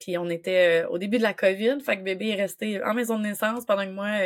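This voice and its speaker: Speaking at a fairly quick pace, a woman keeps her medium-pitched voice fairly even in intonation. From Quebec. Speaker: doula. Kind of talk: casual chat.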